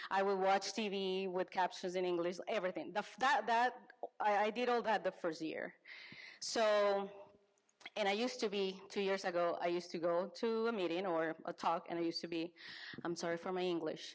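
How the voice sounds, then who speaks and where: Speaking fairly quickly, a woman talks with a Spanish accent. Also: medium pitch for a woman, ordinary pitch variation. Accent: Spanish accent, non-native English. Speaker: business advisor. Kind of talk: conference talk. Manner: halting, frequent self-corrections.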